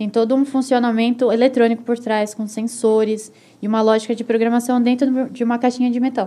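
Quick-paced and monotone, a woman's high voice carries a dark, mellow tone with flat intonation. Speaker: engineering student and product test analyst. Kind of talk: casual chat. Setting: studio.

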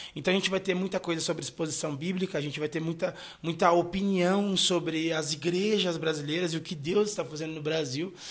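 The speech moves at a fairly quick pace with hardly any pauses. Intonation stays fairly even. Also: man, high pitch for a man. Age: 20s. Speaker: pastor and podcast host. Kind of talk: solo podcast monologue. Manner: casual, conversational.

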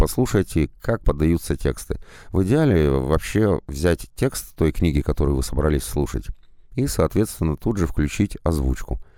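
A man speaks at a moderate pace with a very deep, low pitch, a dark, mellow tone, very wide pitch swings and vocal fry. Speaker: audiobook narrator. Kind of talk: monologue advice.

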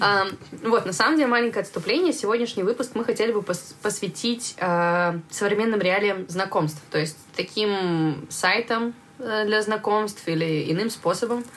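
A woman's unremarkable speaking voice at a medium pitch, fairly slow, with ordinary pitch variation. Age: 20s. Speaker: podcast host, coffee shop manager. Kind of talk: casual chat. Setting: studio.

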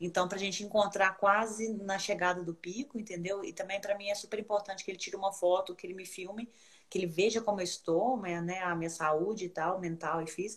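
Speaking quickly with hardly any pauses, a woman has an unremarkable speaking voice, a medium pitch and fairly even intonation. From Brazil, Minas Gerais. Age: 40s. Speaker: ultramarathon runner. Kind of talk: casual chat. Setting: video call.

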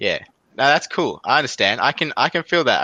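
With an Australian accent, a man speaks at a fairly quick pace in a bright, sharp tone, the sound dry and close with no echo. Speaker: podcast host. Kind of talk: casual chat. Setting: video call. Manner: joking.

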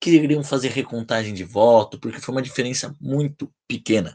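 A man with an ordinary speaking voice talks at a fairly slow pace, medium in pitch with ordinary pitch variation. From Brazil, Bragança Paulista (São Paulo state). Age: 20s. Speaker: podcast host. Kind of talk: casual chat.

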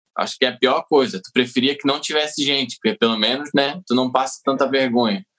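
With a Santa Catarina accent, a man talks at a fairly quick pace and medium pitch, with hardly any pauses and big swings in loudness. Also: ordinary pitch variation. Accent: southern Brazilian (Santa Catarina). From Santa Catarina, southern Brazil. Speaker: comedian. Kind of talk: casual chat.

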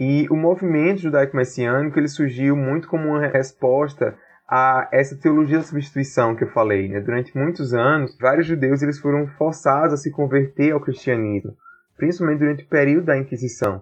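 This man has a fairly high voice with ordinary pitch variation. It is a plain, everyday voice. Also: fairly quick pace. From Brazil, Paraíba (Campina Grande). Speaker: author and political science doctoral student. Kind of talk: interview.

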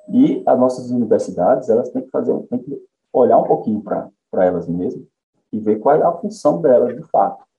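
Over music in the background, a man talks at a fairly quick pace with big swings in loudness. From Paraíba sertão, Brazil. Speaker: economist, head of a research institute. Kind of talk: interview. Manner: hesitant, repeats words.

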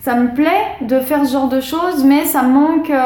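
High-pitched and fairly even in intonation, a woman speaks at a moderate pace. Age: 20s. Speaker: tattoo artist. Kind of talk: casual chat. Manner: halting.

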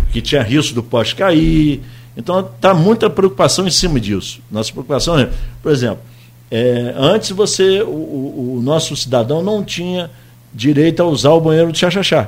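A plain, everyday voice from a man, with lively intonation at a moderate pace. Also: fairly high pitch for a man. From Brazil, Campos dos Goytacazes. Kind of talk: radio interview.

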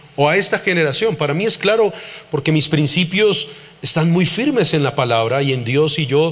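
There is noticeable background noise in the recording. The pace is moderate, and the pitch varies in an ordinary way. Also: man. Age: 40s. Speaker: pastor. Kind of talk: sermon. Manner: animated.

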